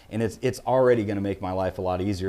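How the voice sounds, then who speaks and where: Very fast speech with a Midwestern US accent, a dark, mellow tone and ordinary pitch variation comes through a very clean recording with a silent background. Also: man. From Illinois. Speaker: auctioneer and gun dealer. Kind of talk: interview.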